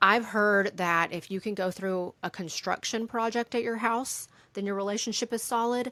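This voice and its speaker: Woman's voice with a bright, sharp tone, medium pitch, ordinary pitch variation and moderate pace, in a very clean recording with a silent background. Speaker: podcast host. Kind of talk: casual podcast monologue. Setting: boat cockpit. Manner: conversational, some stuttering.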